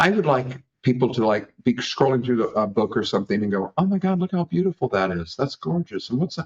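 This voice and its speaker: A man with an American accent at a very fast pace, his pitch swinging very widely. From Kansas, US. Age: 70s. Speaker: dog breeder. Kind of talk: interview. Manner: halting.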